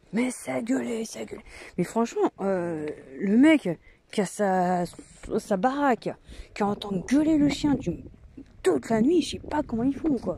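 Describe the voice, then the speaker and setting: Loud, very slow speech from a woman, fairly high-pitched and dark and mellow in tone, with very wide pitch swings and long, frequent pauses. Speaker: vlogger. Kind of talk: casual vlog chat. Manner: hesitant, many fillers.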